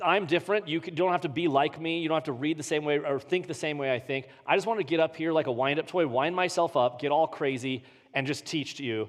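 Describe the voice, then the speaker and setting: A man's fairly high voice at a very fast pace, with ordinary pitch variation and hardly any pauses. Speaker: pastor. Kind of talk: lecture.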